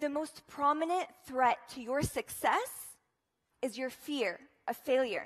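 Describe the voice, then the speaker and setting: A woman with a high pitch and ordinary pitch variation talks in an animated tone at a fairly slow pace, with long, frequent pauses. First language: Arabic. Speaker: student speaker. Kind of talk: inspirational talk.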